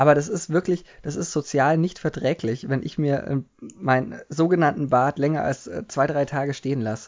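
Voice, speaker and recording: This man has an ordinary speaking voice, fairly high in pitch, moving at a moderate pace with ordinary pitch variation. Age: 20s. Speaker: podcast co-host. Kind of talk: casual chat.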